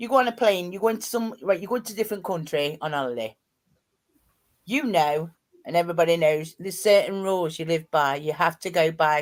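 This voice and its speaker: A woman with a strong East Midlands accent, fairly low pitch, lively intonation and a fairly quick pace. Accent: thick East Midlands. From East Midlands, Nottinghamshire. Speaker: live streamer. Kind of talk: casual chat. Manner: animated.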